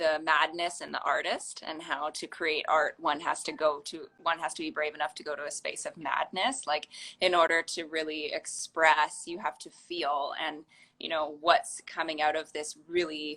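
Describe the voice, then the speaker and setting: Flat and monotone, a woman's very deep, low voice carries a bright, sharp tone at a moderate pace, with big swings in loudness. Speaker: podcast host. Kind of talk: podcast interview question. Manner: casual, hesitant.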